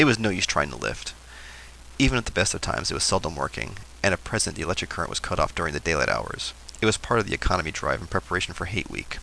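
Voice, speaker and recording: Very fast and with very wide pitch swings, a man talks in a very deep, low voice. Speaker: YouTuber. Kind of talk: reading aloud; casual vlog intro. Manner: halting, stumbling reading.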